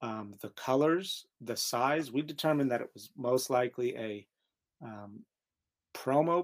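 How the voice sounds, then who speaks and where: The recording is very clean, with a silent background. A man with an ordinary speaking voice and medium pitch talks at a fairly slow pace, his pitch varying in an ordinary way. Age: 40s. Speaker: sneaker expert and podcast co-host. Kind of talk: casual chat.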